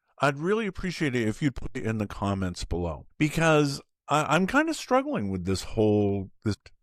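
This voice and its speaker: Over a silent background in a very clean recording, a man with a fairly high pitch speaks at a moderate pace, his voice swinging very widely in pitch. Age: 60s. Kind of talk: casual talk to camera. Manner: halting, with repeated words.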